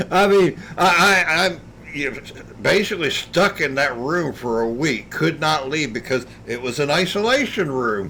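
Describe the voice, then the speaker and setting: There is noticeable background noise behind a man with a fairly high pitch. He talks at a moderate pace with lively intonation. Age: 60s. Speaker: video game streamer. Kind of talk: casual chat. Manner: halting.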